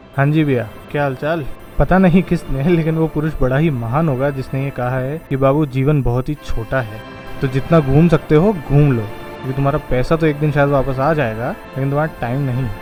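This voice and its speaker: With music in the background, a man speaks at a moderate pace in a fairly high pitch. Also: ordinary pitch variation. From Jaipur, Rajasthan, India. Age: 20s. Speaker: travel vlogger. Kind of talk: travel vlog narration to camera.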